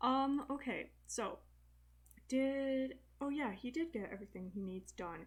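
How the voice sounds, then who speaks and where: A quiet woman with a high pitch and lively intonation, speaking at a fairly slow pace with long, frequent pauses. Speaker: gaming youtuber. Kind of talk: let's play commentary. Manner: quiet, trying to talk loud; casual, hesitant with fillers. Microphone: bad microphone.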